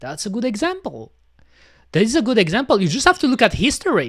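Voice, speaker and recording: Music plays in the background. The speaker has a non-native accent. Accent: peculiar non-native. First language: French. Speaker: VTuber streamer. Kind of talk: casual gaming livestream chat. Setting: livestream with webcam. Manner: hesitant, many fillers.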